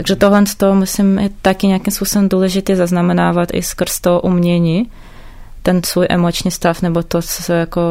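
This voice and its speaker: The voice is dark and mellow, delivered fairly quickly in a monotone, flat intonation. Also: woman, medium pitch for a woman. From Ukraine, Odesa. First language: Ukrainian or Russian (speaking Czech). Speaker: visual artist. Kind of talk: interview.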